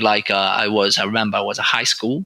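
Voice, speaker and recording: A man with an Italian accent, fairly quick pace, and a bright, sharp tone. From northern Italy, Turin. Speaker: oncologist. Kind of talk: interview. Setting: podcast recording. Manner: halting.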